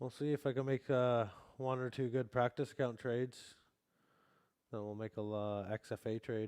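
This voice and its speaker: A man with a slight Canadian accent speaks at a moderate pace and medium pitch, with fairly even intonation. He takes long, frequent pauses, in a dry, close sound with no echo. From Canada, Vancouver. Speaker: futures trading streamer. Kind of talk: live stream commentary. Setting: live stream. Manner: casual.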